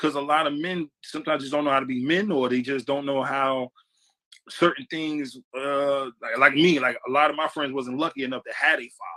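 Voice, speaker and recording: In a dry, close sound with no echo, a man speaks at a fairly high pitch with a bright, sharp tone. His pace is fairly quick and his intonation fairly even. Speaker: podcast host. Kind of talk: casual chat.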